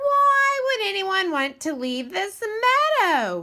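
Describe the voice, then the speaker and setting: A woman puts on a squeaky character voice at an extremely high pitch. She speaks at a fairly slow pace with very wide pitch swings. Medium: read story. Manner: hesitant, worried.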